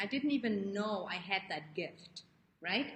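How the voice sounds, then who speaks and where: A woman with a non-native accent speaks at a moderate pace over noticeable background noise. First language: not English. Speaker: life coach. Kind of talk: live stream talk to viewers. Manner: animated; halting.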